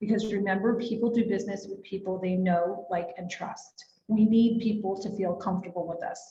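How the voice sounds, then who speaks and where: Speaking at a moderate pace with an American accent, a woman has a medium-pitched, somewhat breathy voice with a dark, mellow tone and ordinary pitch variation. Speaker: real estate agent and trainer. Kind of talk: workshop presentation.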